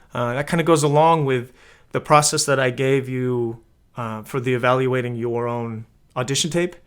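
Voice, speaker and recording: A man talks at a fairly quick pace and a fairly high pitch. The recording is very clean, with a silent background. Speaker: acting coach. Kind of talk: tutorial. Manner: casual, many filler words.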